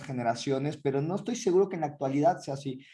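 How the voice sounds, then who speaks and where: A man's dark, mellow, somewhat breathy tone at a very fast pace, with lively intonation. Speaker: podcast co-host. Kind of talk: casual chat.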